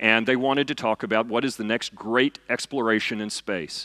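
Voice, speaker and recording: Loud and bright with a sharp tone, a man with a Southern US accent speaks at a fairly quick pace with fairly even intonation in a dry, close sound with no echo. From US South, eastern Kentucky. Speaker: physicist and science fiction author. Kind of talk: lecture. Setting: stage with audience.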